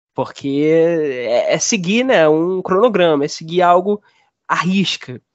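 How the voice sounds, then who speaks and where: A man speaks with a high-pitched voice. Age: 20s. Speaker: film critic. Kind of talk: casual chat.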